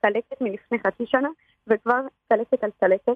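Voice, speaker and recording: Speech at a moderate pace with ordinary pitch variation. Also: woman. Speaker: anonymous football fan caller. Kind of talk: emotional testimony. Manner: halting, repeating words.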